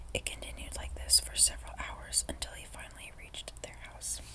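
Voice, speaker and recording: Against noticeable background noise, a woman speaks in a soft-spoken way. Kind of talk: ASMR story reading.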